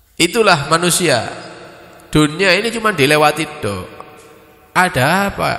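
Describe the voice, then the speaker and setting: A man speaks in a high pitch with lively intonation. His talk has long, frequent pauses, and the room echo is audible. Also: moderate pace. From East Java, Indonesia. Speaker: Islamic preacher. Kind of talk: religious study lecture. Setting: mosque study gathering after dawn prayer. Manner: casual, mixing Javanese and Indonesian. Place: hall. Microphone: handheld.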